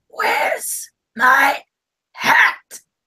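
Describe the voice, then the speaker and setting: An extremely high-pitched, put-on character voice is heard. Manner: sighing.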